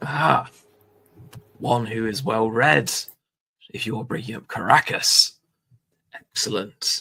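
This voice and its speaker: In a put-on character voice, a man sounds raspy at a medium pitch with ordinary pitch variation. He moves at a fairly slow pace with long, frequent pauses. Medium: actual play. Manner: pious, formal.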